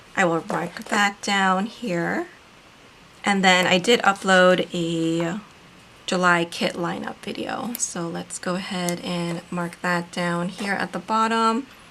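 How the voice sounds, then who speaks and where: A woman's medium-pitched voice at a very slow pace, with fairly even intonation. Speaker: planner video creator and author. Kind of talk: casual craft tutorial narration.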